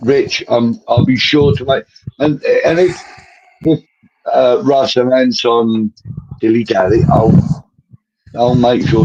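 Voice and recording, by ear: Slowly, a man speaks at medium pitch with ordinary pitch variation, his slightly mellow tone carrying a slightly husky edge.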